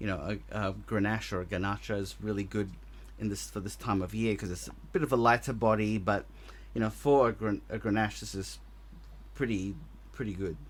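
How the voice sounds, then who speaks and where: A man talks at a fairly quick pace in a strong Australian accent. His speech is broken by long, frequent pauses. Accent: very Australian. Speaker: podcast co-host. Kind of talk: casual chat.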